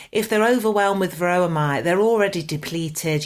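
At a moderate pace, a woman with a fairly low pitch and a normal speaking voice talks with lively intonation. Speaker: podcast co-host. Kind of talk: casual chat.

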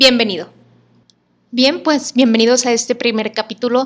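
The speaker is a woman with fairly even intonation. Her voice is high-pitched. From Mexico, Monterrey. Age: 30s. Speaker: podcast host. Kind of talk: podcast monologue.

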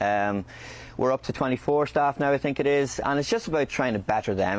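A man speaks with a Northern Irish accent and ordinary pitch variation. Background noise is noticeable. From Northern Ireland, County Fermanagh. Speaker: chef and restaurant owner. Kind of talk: interview. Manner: halting.

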